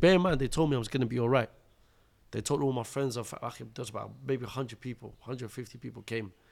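A man with a London accent talks at a very fast pace, his medium pitch moving with ordinary variation. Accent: London multicultural English. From Iraq (Mosul), raised in London. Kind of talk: casual interview with personal testimony. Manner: animated.

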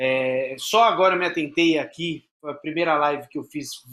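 A man's bright, sharp voice at a fairly high pitch and a fairly slow pace. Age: 30s. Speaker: lawyer moderating a legal webinar. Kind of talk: panel discussion livestream. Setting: studio.

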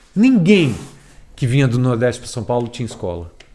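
In a very clean recording with a silent background, a man of medium pitch speaks with lively intonation. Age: 40s. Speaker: education expert and author. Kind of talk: casual chat.

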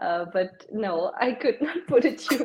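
This is a woman speaking. She has a German accent. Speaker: podcast guest, maker. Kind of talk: casual chat.

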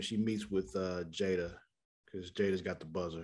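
A man speaks with a very deep, low pitch. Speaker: podcast host. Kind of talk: casual chat, joking banter. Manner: joking, casual, slangy.

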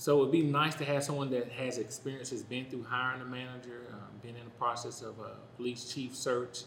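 A man with an eastern North Carolina accent at medium pitch, fairly quick in pace, monotone and flat in intonation, with big swings in loudness, amid noticeable background noise and audible room echo. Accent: Southern US (eastern North Carolina). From Kinston, eastern North Carolina. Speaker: city council member and funeral director. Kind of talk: interview.

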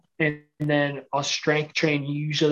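Here is a man with a fairly high pitch and an unremarkable speaking voice. He talks at a fairly slow pace. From Ontario, Canada (Windsor area). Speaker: fitness entrepreneur and podcaster. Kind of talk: casual interview.

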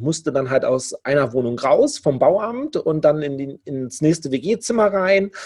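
With a plain, everyday voice, a man speaks fairly slowly at a fairly high pitch, his intonation lively. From Germany, Lower Rhine region. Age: 40s. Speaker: affiliate marketer, formerly homeless. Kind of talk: interview, personal story.

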